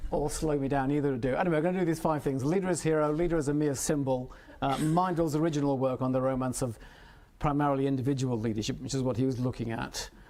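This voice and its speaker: Talking very fast with fairly even intonation and very even loudness, a man with a fairly high pitch and a dark, mellow tone is heard with audible room echo. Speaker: professor. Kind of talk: lecture.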